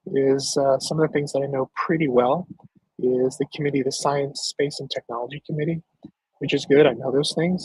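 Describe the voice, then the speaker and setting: With a dry, close sound and no echo, a man talks at a moderate pace in a fairly high, somewhat breathy voice. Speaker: political candidate and show host. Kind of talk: live stream talk. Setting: outdoors with dog.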